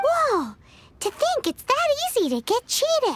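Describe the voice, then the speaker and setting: At a moderate pace, a squeaky put-on character voice jumps through very wide pitch swings at an extremely high pitch. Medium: video game. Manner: excitable.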